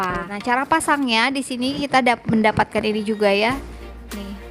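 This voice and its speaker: A quiet, fairly high-pitched woman at a fairly quick pace, with ordinary pitch variation and noticeable background noise. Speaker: vlogger reviewing gadgets. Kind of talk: product review tutorial. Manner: casual, chatty.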